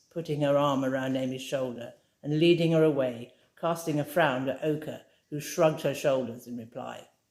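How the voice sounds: At a moderate pace, a woman speaks with an extremely low pitch, a slightly mellow tone and fairly even intonation.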